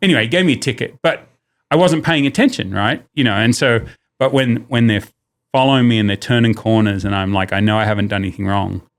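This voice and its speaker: A man with an Australian accent, very fast in pace, medium in pitch, with ordinary pitch variation. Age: 50s. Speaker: business owner. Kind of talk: casual chat. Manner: loud; animated.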